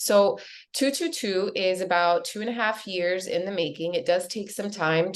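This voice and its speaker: A woman speaks in a plain, everyday voice with an American accent, at medium pitch with ordinary pitch variation, against a quiet background. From US, Miami. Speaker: real estate agent. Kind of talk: webinar presentation.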